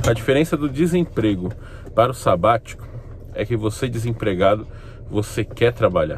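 Through noticeable background noise, a man talks at a moderate pace in a medium pitch with lively intonation. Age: 30s. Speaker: YouTuber. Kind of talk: casual vlog monologue. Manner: animated.

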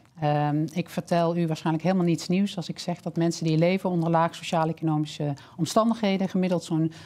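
Speaking at a fairly quick pace, a woman with a fairly low pitch and a dark, mellow tone keeps her intonation fairly even. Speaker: health scientist and social entrepreneur; guest. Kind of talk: webinar presentation. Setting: online webinar. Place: studio. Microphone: headset.

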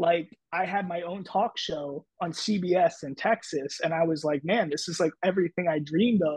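Spoken at a moderate pace with an American accent, ordinary pitch variation and hardly any pauses. The sound is dry with no echo, and the background is quiet. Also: man, high pitch for a man. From Philadelphia area / South Jersey; Philadelphia. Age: 30s. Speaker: TV sports host and former stand-up comedian; TV sports host, former stand-up comedian. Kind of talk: casual interview chat. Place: home room.

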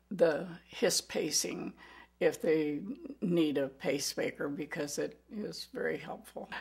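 In a quiet background, a woman with an American accent speaks at a very slow pace. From US Midwest, Iowa. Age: 70s. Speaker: heart patient. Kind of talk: testimony. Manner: halting. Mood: calm, grateful. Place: kitchen.

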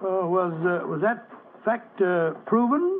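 A man puts on a character voice, high-pitched, slow, and full of big pitch swings.

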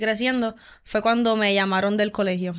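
With a Puerto Rican accent, a woman talks at a moderate pace and a fairly high pitch. Her intonation stays monotone and flat. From Puerto Rico, Barceloneta; Puerto Rico. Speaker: volleyball player; guest. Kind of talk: interview. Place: studio. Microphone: studio mic.

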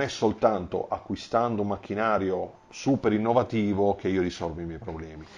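Ordinary pitch variation shapes this man's fairly low voice. He keeps a moderate pace. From Apulia, Corato; Apulia. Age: 40s. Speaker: engineer and business owner; interviewee. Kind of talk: interview. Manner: halting. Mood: calm, reflective. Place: home room. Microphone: lapel.

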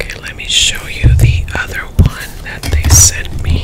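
Whispering and soft-spoken, a woman talks at a fairly slow pace with music in the background. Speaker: product reviewer. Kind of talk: casual product review / ASMR chat. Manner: soft ASMR whisper close to the mic. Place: home room. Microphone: studio mic.

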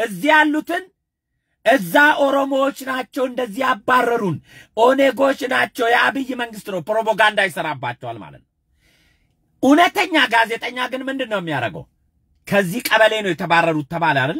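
A man with an extremely high, bright, sharp voice sounds animated, with very wide pitch swings and big changes in loudness. The recording is very clean and dry, close and echo-free, with a silent background. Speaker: political commentator. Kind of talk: live stream monologue.

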